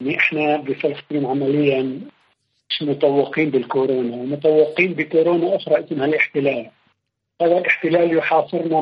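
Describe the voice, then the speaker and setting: A man with a plain, everyday voice, fairly high in pitch, with fairly even intonation. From Palestine, West Bank village. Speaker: poet and researcher. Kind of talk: interview.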